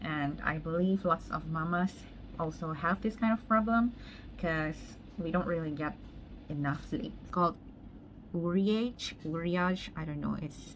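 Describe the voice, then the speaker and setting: With ordinary pitch variation, a woman talks at a fairly slow pace. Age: 30s. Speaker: makeup artist. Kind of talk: makeup tutorial, casual chat.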